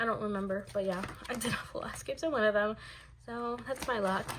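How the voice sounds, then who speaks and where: A woman speaks over noticeable background noise. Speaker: K-pop photocard collector vlogger. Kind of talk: casual video monologue, binder flip-through. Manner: fast; casual, with many fillers.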